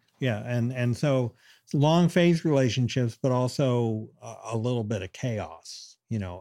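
A man's dark, mellow voice at a medium pitch, with an American accent, ordinary pitch variation and a fairly slow pace, on a very clean recording with a silent background. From Western Pennsylvania. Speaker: experimental musician and instrument maker. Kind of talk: interview. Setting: artist's studio. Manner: halting, many fillers and restarts.

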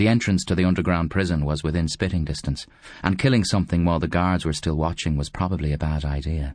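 A man talks at a very fast pace in a very deep, low pitch. The background is quiet. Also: ordinary pitch variation. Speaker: audiobook narrator. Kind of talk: literary audiobook reading, dark comic fantasy narration with character voices.

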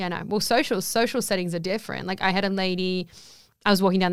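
A woman with an Australian accent speaks at a medium pitch and with fairly even intonation. Her recording is very clean, the background silent. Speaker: guest. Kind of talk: casual chat.

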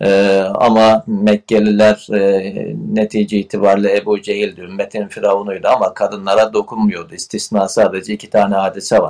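A man talks in a fairly low voice at a moderate pace. His intonation is monotone and flat. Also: hardly any pauses. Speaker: theologian and writer. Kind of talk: interview.

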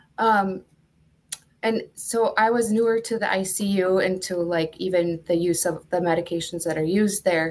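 A woman with an American accent has an ordinary speaking voice and a fairly low pitch. She talks at a moderate pace with fairly even intonation in a very clean recording with a silent background. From Duluth, Minnesota. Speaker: nurse. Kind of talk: casual interview.

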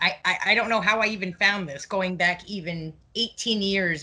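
A woman with a bright, sharp tone and medium pitch speaks very slowly, with ordinary pitch variation. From Quebec, Montreal. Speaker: podcast host. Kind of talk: casual chat, reading old news articles.

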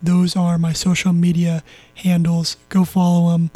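Dry and close with no echo, a high-pitched man with an American accent speaks at a moderate pace in a dark, mellow tone. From Southern California. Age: young. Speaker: sports podcaster. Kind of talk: casual solo sports commentary.

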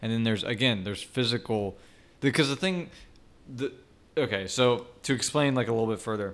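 In an ordinary speaking voice, a man talks at medium pitch with ordinary pitch variation. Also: very clean recording, silent background. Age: 20s. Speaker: podcast co-host, software developer. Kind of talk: casual chat. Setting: studio.

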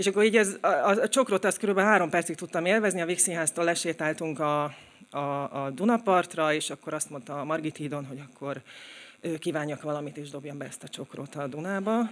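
In a very clean recording with a silent background, a woman talks fairly quickly at a fairly low pitch, with ordinary pitch variation and big swings in loudness. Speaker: writer and blogger. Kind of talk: live storytelling. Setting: stage with audience. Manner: halting.

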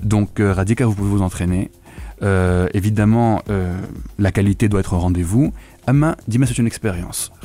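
The speech races along at a very fast clip, with ordinary pitch variation. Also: man, fairly low pitch for a man. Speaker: translator and linguist. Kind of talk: radio interview.

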